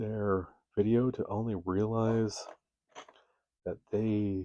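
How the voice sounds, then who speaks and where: A man speaks with a tired tone. His voice is dark and mellow. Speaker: miniature painting hobbyist. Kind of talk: casual talk to camera. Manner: tired, rambling.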